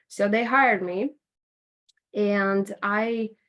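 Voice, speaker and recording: The speaker has a Latvian accent on a very clean recording with a silent background. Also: woman. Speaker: interviewee sharing life story. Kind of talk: podcast interview. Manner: conversational with fillers.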